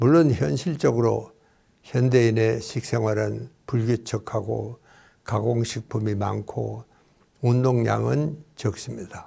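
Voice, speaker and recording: This man talks at a very slow pace, in a medium pitch with ordinary pitch variation. His tone is dark, mellow and somewhat breathy, on a very clean recording with a silent background. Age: 90s. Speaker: psychiatrist and doctor. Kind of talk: interview talk. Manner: formal.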